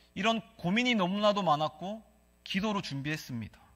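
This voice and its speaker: A man at a moderate pace with a Gyeongsang accent, in a very clean recording with a silent background. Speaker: pastor. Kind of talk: sermon. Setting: church.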